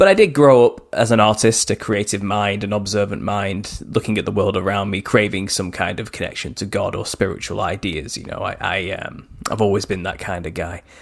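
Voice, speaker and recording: Against noticeable background noise, a man with a northern English accent talks at a fairly quick pace with hardly any pauses. His pitch is fairly low and his intonation fairly even. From northwest England. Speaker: author. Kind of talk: interview. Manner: halting.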